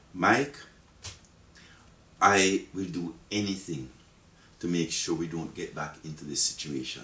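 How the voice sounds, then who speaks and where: This man's voice has a very deep, low pitch and a fairly slow pace. Room echo is audible in the recording. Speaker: interviewee. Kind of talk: interview answer. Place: office.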